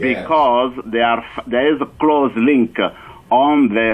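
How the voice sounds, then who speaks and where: Speaking with a French accent, a man keeps a fairly slow pace and fairly even intonation. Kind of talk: radio interview. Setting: phone call.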